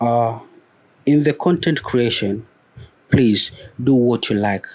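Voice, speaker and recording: The speaker talks at a very slow pace with a non-native accent. Pitch varies in an ordinary way. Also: man, medium pitch for a man. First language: a non-English mother tongue. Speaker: YouTube growth coach. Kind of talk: motivational talk to camera. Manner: hesitant with fillers and repetitions.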